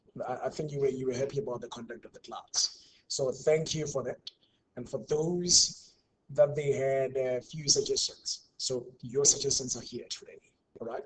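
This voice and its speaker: The speaker moves at a moderate pace with fairly even intonation and a somewhat breathy sound. Loudness swings widely. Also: man, fairly high pitch for a man. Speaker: university tutor. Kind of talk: online tutorial. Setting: online class.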